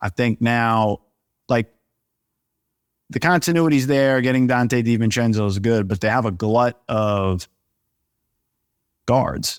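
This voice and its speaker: With a New York accent, a man of medium pitch speaks at a fairly slow pace with ordinary pitch variation and long, frequent pauses, in a dry, close sound with no echo on a very clean recording with a silent background. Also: very even loudness. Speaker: NBA reporter. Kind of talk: casual chat.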